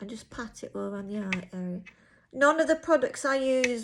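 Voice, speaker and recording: Her speed is moderate as the woman talks. The recording is very clean, its background silent. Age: 50s. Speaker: beauty vlogger. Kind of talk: tutorial. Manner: casual.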